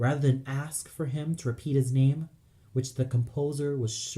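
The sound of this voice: Fairly even intonation throughout. The voice is an unforced reading voice.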